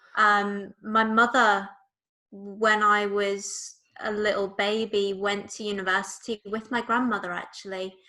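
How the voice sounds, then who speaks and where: This woman has a Liverpool accent and a medium pitch. She talks at a fairly slow pace with monotone, flat intonation. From Liverpool, England. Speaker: political party leader, activist. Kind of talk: casual interview.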